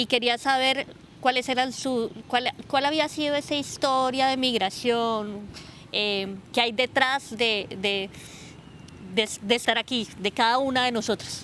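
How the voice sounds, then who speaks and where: At a very slow pace, a woman with a high pitch and a bright, sharp tone keeps her intonation fairly even. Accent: Colombian. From Colombia. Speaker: sociologist and researcher. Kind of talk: interview. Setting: outdoors. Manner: halting.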